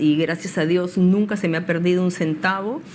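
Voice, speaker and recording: With noticeable background noise behind her, a woman speaks fairly slowly at a medium pitch with ordinary pitch variation. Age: 60s. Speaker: political candidate. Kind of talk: interview.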